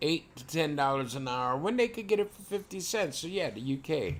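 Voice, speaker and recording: A man with an American accent, a plain, everyday voice and lively intonation at a moderate pace. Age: 60s. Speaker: live streamer. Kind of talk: casual chat.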